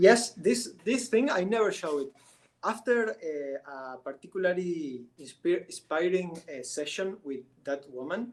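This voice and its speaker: A man with a Spanish accent speaks at a fairly slow pace in a high voice. His pitch swings very widely, and so does his loudness. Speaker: artist. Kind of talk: interview. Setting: live stream. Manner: halting, many restarts.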